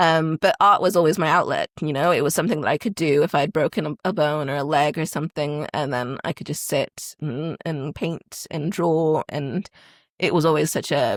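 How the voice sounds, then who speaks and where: A woman with a slight American accent speaks at a very deep, low pitch, her pitch varying in an ordinary way at a moderate pace. The sound is dry and close with no echo, on a very clean recording with a silent background. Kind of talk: podcast interview. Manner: hesitant, many fillers.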